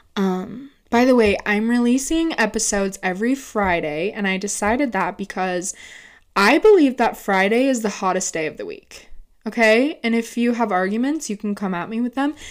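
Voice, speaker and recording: On a very clean recording with a silent background, a woman with an American accent speaks at a moderate pace, fairly high in pitch, with an animated tone and lively intonation. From Utah, US. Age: 20s. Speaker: podcast host. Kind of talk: casual solo chat.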